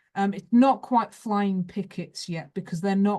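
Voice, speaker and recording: Against a quiet background, a woman with a Lancashire accent speaks at a fairly slow pace in a somewhat breathy voice. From northern England, Rochdale, Lancashire. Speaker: history professor. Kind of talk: lecture. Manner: hesitant, many fillers.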